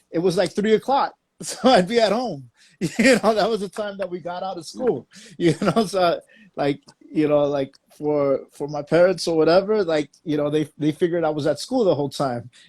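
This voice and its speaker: A high-pitched man with lively intonation. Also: moderate pace. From Los Angeles area, Watts. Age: 40s. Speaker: DJ. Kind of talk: casual chat.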